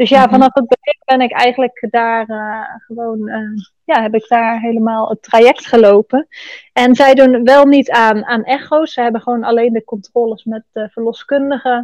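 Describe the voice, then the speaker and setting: At a moderate pace, a woman with a plain, everyday voice speaks with a fairly high pitch and fairly even intonation. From Netherlands. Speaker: podcast guest sharing birth story. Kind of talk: casual interview.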